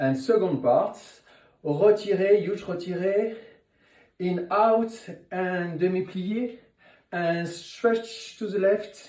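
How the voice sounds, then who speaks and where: Amid audible room echo, a man with a French accent speaks at a high pitch and a very slow pace, with ordinary pitch variation and long, frequent pauses. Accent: French accent, noticeable. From France. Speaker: ballet teacher. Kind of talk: instructional tutorial. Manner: counting rhythmically.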